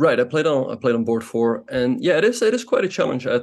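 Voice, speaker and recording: This is a man speaking. He has a non-native accent. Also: quiet background. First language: not English. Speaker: chess grandmaster and streamer. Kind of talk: interview.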